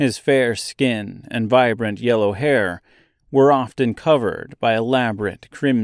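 The speaker is doing plain reading aloud. The background is quiet.

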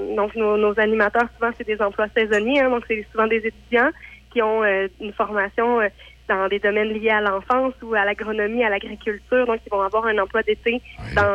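This woman's voice sits at a fairly high pitch, with monotone, flat intonation. She keeps a moderate pace. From Quebec. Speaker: farm camp organizer. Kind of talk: radio interview.

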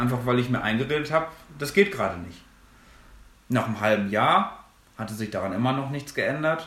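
A man speaks at medium pitch with lively intonation. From Germany, Minden-Lübbecke district (East Westphalia). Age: 20s. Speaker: theology student. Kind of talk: podcast interview.

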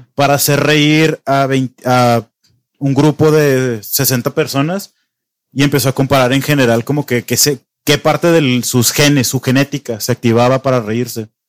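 A fairly high-pitched man with a Mexican accent, fairly slow pace and ordinary pitch variation, in a dry, close sound with no echo. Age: 20s. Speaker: podcast host. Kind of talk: casual chat.

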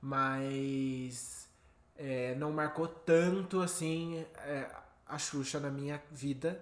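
A man's fairly high voice at a very slow pace, with fairly even intonation and audible room echo. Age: 20s. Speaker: podcast co-host. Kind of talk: casual chat.

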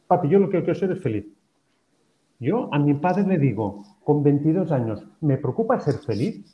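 A man speaks at a moderate pace with fairly high pitch and very wide swings in it. His voice is somewhat breathy, broken by long, frequent pauses. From Spain. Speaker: professor and happiness researcher. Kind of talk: interview.

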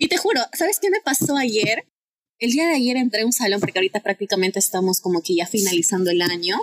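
A woman speaks at a very fast pace with a fairly high pitch and lively intonation. Her loudness stays very even, and the sound is dry and close, with no echo. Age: 20s. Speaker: psychology student intern. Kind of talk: interview. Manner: animated.

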